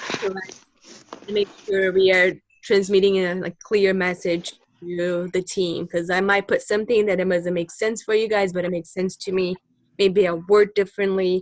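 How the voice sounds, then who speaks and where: Monotone, flat intonation marks a woman speaking with a non-native accent. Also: medium pitch for a woman, moderate pace. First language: not English. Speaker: university student on a team project. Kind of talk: casual meeting discussion.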